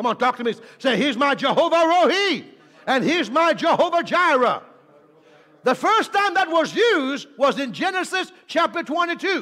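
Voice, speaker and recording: A man with an extremely high pitch speaks in a raised, projected voice at a fairly slow pace. His tone is animated and his intonation lively, against a quiet background. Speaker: preacher. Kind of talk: sermon; energetic preaching with call-and-response altar call. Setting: church with live congregation. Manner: animated, exhorting the congregation, repeated commands to say amen and lift hands; jokey, playful with the audience. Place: church. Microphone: handheld.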